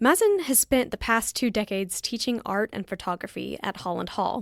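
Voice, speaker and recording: A woman talks at a fairly quick pace with a fairly high pitch, in an ordinary speaking voice. The sound is dry and close with no echo, on a very clean recording with a silent background. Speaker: podcast host. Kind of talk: podcast interview.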